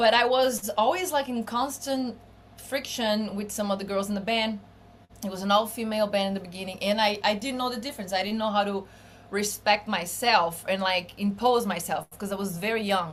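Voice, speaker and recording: With a Portuguese accent, a woman speaks at a fairly quick pace and a medium pitch, with ordinary pitch variation. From Brazil. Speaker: bassist and singer-songwriter. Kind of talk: podcast interview. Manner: casual, with many fillers.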